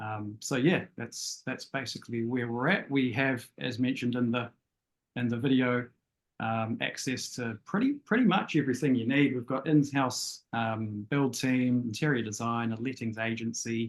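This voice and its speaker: With a New Zealand accent, a man speaks at a medium pitch and moderate pace, keeping his intonation fairly even. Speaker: property sourcing agent. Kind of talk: casual interview on a live web show. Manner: hesitant, many fillers.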